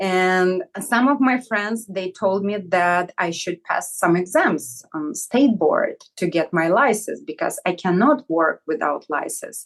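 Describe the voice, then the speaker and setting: A woman with a Russian accent talks fairly slowly, hardly pausing at all, her pitch swinging very widely. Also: medium pitch for a woman. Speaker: hair salon owner. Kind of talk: interview.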